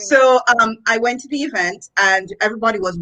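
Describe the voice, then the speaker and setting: A woman is speaking. She has a Jamaican accent. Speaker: education executive and author. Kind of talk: interview. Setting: live video stream.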